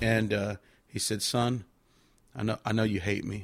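A man with an American accent speaks in a fairly low, flat monotone on a very clean recording with a silent background. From Victoria, Texas. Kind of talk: testimony.

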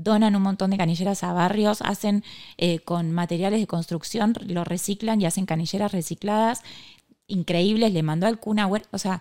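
In a Rioplatense accent, a woman speaks with a dark, mellow tone at a medium pitch and a moderate pace. Her intonation stays fairly even, and the very clean recording has a silent background. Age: 20s. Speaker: cancer survivor and entrepreneur. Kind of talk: casual interview.

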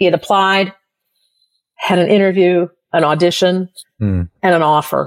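With a plain, everyday voice, a woman talks at a moderate pace, her pitch fairly low and her intonation fairly even. The sound is dry and close, with no echo. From US Midwest. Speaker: university professor. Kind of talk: casual chat.

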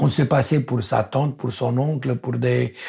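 A man with a Romanian accent speaks at a moderate pace in a medium-pitched, somewhat breathy voice. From Romania, Transylvania. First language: Romanian (speaking French). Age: 70s. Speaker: architect. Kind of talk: testimony. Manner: halting.

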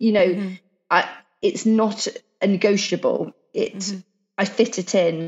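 Speaking at a moderate pace with a medium pitch, a woman sounds somewhat breathy and monotone, with long, frequent pauses. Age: 40s. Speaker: CrossFit athlete and entrepreneur. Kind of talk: casual chat.

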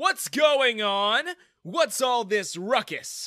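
A put-on character voice moves at a very slow pace with big pitch swings and a bright, sharp tone. The recording is very clean with a silent background and a dry, close sound with no echo. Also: man, extremely high pitch for a man.

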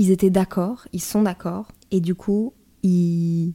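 In a very clean recording with a silent background, a woman's dark, mellow voice sits fairly low and keeps fairly even intonation. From northern France. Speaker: podcast host. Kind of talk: personal monologue.

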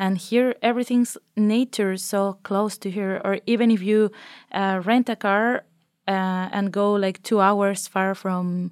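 Speaking with a Spanish accent, a woman has a medium pitch, fairly even intonation and a fairly slow pace. The very clean recording has a silent background and a dry, close sound with no echo. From Mexico. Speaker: master's student. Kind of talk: casual interview chat. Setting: studio.

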